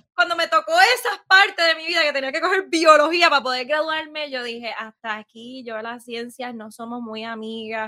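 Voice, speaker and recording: Hardly pausing, the raised, projected voice swings widely in loudness. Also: woman, high pitch for a woman, moderate pace. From Puerto Rico, west (San Sebastián). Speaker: small business owner. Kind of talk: casual interview.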